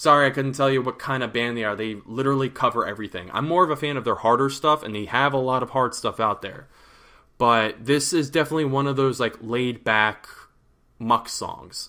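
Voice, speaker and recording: A man talks at a fairly quick pace in a bright, sharp tone on a very clean recording with a silent background. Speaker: music vlogger reviewing albums. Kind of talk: casual vlog review rant. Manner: casual, halting with fillers.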